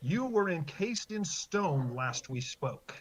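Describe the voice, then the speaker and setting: The speech moves fairly slowly in a put-on character voice. Its pitch sits in the middle range. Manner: menacing.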